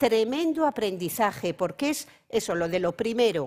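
A woman speaks with very wide pitch swings. The background is quiet. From Cantabria, Spain. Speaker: philosophy professor. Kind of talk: panel talk. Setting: conference stage with audience. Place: stage. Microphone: lapel.

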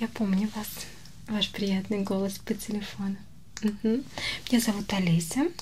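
A soft-spoken woman talks over light background noise. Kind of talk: ASMR role-play dialogue. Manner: soft-spoken ASMR role-play voice.

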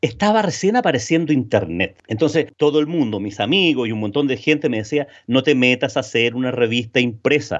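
At a fairly quick pace, a man talks with very wide pitch swings. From Chile. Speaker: B2B sales consultant and trainer. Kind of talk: interview.

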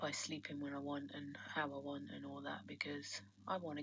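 The speaker talks at a moderate pace. Light noise sits in the background. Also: woman. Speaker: vlogger. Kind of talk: personal vlog diary. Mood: tired, reflective, resentful. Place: home room.

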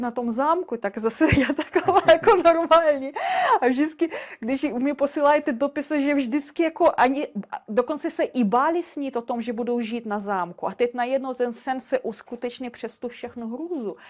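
A woman speaks at a moderate pace in a Russian accent, her voice high-pitched with ordinary pitch variation. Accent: Russian accent in Czech. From Russia and Belarus. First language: Russian (speaking Czech). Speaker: castle sales consultant. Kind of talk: interview.

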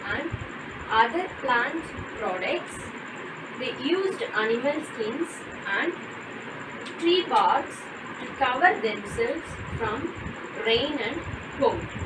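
Amid noticeable background noise, a woman talks at a very slow pace with long, frequent pauses. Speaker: teacher. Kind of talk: lecture. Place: classroom. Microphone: camera far.

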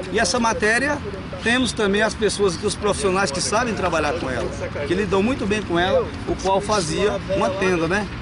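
Over crowd noise in the background, a man talks at a fairly quick pace with ordinary pitch variation in a dry sound with no echo. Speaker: capoeira teacher. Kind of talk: interview answer. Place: open country.

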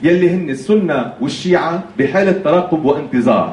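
Speaking at a fairly slow pace, a man with a high voice is heard amid audible room echo and light background noise. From Lebanon. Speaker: political commentator. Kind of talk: lecture. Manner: conversational. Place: hall.

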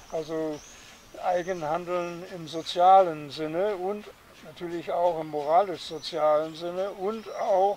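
A man talks at a very slow pace and a high pitch, with fairly even intonation and big swings in loudness. The sound is dry with no echo, and there is light background noise. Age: 80s+. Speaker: philosopher; interviewee. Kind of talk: interview. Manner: hesitant, many fillers. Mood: calm, reflective. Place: garden.

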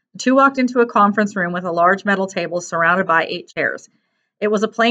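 A quiet background surrounds a reading voice that stays unforced.

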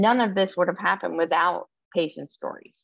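A woman speaks at a moderate pace in a plain, everyday voice, her medium pitch carried on fairly even intonation. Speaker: policy advocate presenting at a webinar. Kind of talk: informal spoken, frequent "right?" tags. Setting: online webinar presentation.

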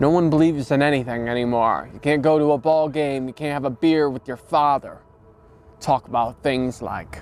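A man speaks at a moderate pace with fairly even intonation. The sound is dry, with no echo. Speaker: comedic character in mock interview. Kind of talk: interview answer. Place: garden. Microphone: lapel.

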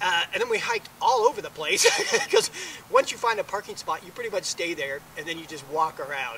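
A man is talking over light background noise. The sound is dry with no echo. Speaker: family travel vlogger. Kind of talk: casual vlog chat. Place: street.

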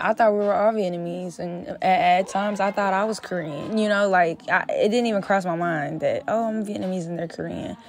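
With an American accent, a woman in a normal speaking voice talks at a moderate pace and medium pitch, with ordinary pitch variation and hardly any pauses. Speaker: rapper. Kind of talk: interview.

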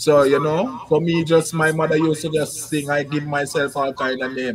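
With a strong Jamaican accent, a man speaks at a moderate pace and a fairly high pitch. His intonation stays fairly even over light background noise. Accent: Jamaican, strong patois. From Kingston, Jamaica. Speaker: musician, singer-songwriter. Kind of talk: casual interview chat. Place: home room.

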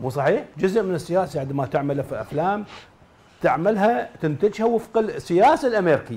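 Pitched high, a man's voice has a dark, mellow tone and very wide pitch swings. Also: moderate pace. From Iraq. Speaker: writer and journalist; guest, media commentator. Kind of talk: TV panel discussion. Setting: studio. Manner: formal. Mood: earnest, critical. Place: studio. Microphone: lapel.

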